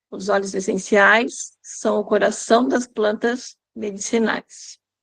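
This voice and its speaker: Speaking very slowly, a woman uses a fairly high pitch and fairly even intonation, with vocal fry. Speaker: aromatherapy teacher. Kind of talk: lecture.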